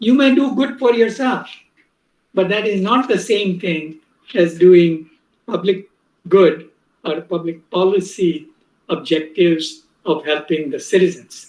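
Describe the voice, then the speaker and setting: A man with a Gujarati accent in a high pitch, with lively intonation, a fairly slow pace and long, frequent pauses. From India, Mumbai. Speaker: professor. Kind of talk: lecture.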